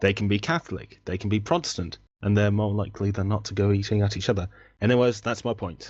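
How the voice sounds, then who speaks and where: The speaker has an English accent and talks at a very fast pace. Pitch variation is ordinary. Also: man, fairly low pitch for a man. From England. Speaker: debate participant. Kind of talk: online debate.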